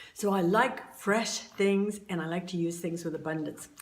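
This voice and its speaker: Amid audible room echo, a speaker with an American accent talks at a moderate pace with fairly even intonation. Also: woman. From Southern California. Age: 70s. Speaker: YouTuber sharing beauty tips. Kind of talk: casual tutorial. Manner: hesitant, many fillers.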